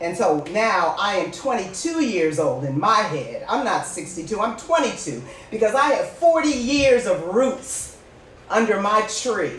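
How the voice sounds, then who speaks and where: Amid noticeable background noise and audible room echo, a woman with a fairly high pitch talks at a fairly slow pace with very wide pitch swings. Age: 60s. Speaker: podcast host. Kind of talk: casual chat. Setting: live stream. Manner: animated.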